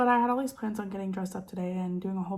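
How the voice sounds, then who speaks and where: This woman talks at a very fast pace in a medium-pitched voice. Noticeable noise sits in the background. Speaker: lifestyle vlogger. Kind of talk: casual chat. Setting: at home in dining room. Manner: stutters at times.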